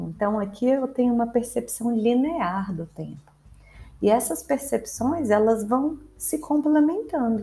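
Over music in the background, a woman with a fairly high pitch speaks at a fairly slow pace, her voice making very wide pitch swings. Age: 30s. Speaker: history teacher. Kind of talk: educational podcast lecture. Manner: casual, conversational with fillers.

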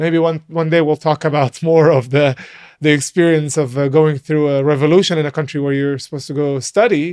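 A man speaks at a fairly quick pace with an Arabic accent, his pitch fairly high and his intonation fairly even. The background is quiet, and the sound is dry and close with no echo. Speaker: podcast co-host. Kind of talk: casual chat.

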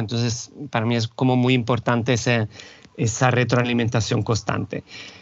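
Speaking at a moderate pace, a man of medium pitch talks with an Italian accent. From Italy, Rome. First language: Italian (speaking Spanish). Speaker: university lecturer in cultural management. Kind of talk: interview conversation.

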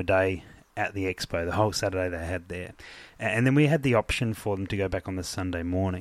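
A man speaks with an Australian accent. His pitch is very deep and low. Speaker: podcast host. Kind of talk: casual chat. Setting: hotel room.

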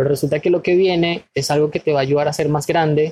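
A man with a fairly high voice speaks at a moderate pace, somewhat breathy and monotone, in a dry, close sound with no echo. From Venezuela. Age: 30s. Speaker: spiritual wellness guest. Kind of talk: casual interview.

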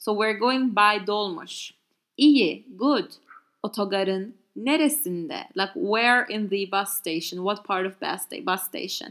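A woman's lively intonation carries through her fairly slow delivery. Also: medium pitch for a woman. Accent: Turkish. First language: Turkish. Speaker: language teacher podcaster. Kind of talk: tutorial. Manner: halting.

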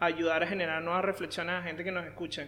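The delivery is monotone, with flat intonation. The speaker has a Venezuelan accent. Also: man. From Venezuela (Caracas). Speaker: marketing consultant. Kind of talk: interview.

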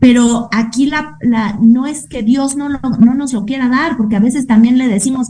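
This is a woman's voice. Her intonation stays fairly even. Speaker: radio host. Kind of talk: casual chat.

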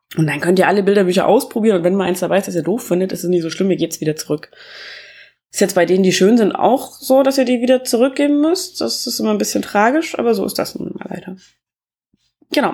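A woman with a dark, mellow tone talks at a very fast pace and a medium pitch, her pitch swinging very widely. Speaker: podcast host reviewing books. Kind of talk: casual book review monologue. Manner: halting, many filler sounds.

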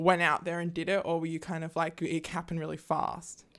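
With an Australian accent, a woman with a fairly low pitch talks at a fairly quick pace. The recording is very clean, with a silent background. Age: 20s. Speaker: podcast co-host. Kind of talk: casual chat; reading aloud. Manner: animated.

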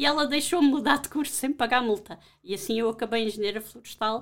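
Vocal fry runs through a woman's voice as she speaks at a very fast pace. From Portugal, Alentejo. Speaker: professor. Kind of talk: interview.

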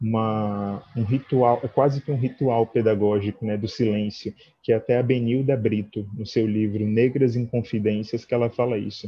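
With hardly any pauses, the somewhat breathy voice runs on in a flat, monotone delivery. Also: man, medium pitch for a man, moderate pace. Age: 30s. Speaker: dance teacher. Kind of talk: online talk with discussion.

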